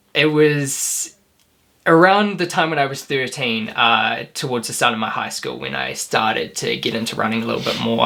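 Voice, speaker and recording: A man with a New Zealand accent talks at a medium pitch. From New Zealand, New Plymouth. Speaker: professional runner. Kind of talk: interview.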